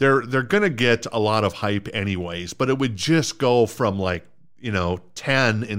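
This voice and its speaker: A man with an American accent at a fairly slow pace, ordinary pitch variation, on a very clean recording with a silent background. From US Minnesota. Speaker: podcast host. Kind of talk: casual chat, sports banter.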